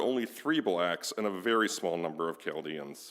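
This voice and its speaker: In an American accent, the speaker moves at a fairly quick pace with lively intonation. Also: man. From US Midwest, Detroit suburbs. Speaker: guest speaker, local historian. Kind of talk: prepared talk read aloud.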